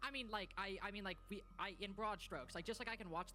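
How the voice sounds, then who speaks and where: The words rush out at a very fast pace while music plays in the background. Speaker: esports caster. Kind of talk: casual chat during tech delay.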